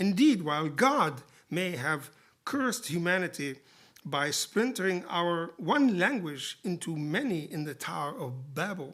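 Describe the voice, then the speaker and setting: Fairly slow speech with an Arabic accent. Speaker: poet and literary translator giving a lecture. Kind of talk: lecture. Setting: lecture theatre with audience. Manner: formal.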